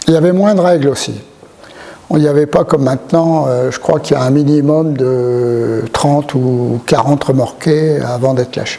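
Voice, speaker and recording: At a moderate pace and a fairly high pitch for a man, he speaks with ordinary pitch variation over noticeable background noise. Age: 70s. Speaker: retired airline pilot. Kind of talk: interview testimony. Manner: hesitant, many fillers.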